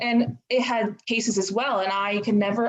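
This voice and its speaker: A somewhat breathy woman speaks at a fairly slow pace and a medium pitch. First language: Italian (forgotten). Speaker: university student learning Irish. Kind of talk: casual chat. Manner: hesitant, many fillers.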